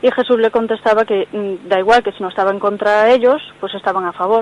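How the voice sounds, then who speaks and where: The speech moves at a fairly quick pace with fairly even intonation. Noticeable background noise sits behind it. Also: woman. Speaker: radio caller. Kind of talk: phone-in question. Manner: fast.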